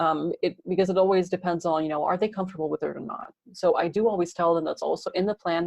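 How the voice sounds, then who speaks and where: A woman with a fairly low pitch speaks at a very fast pace. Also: dry, close sound with no echo. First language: Dutch. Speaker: podcasting coach. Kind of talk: interview.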